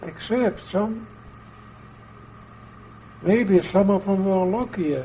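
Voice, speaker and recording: Over noticeable background noise, a man speaks at a high pitch and a very slow pace. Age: 80s+. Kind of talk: interview answer. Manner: halting, hesitant.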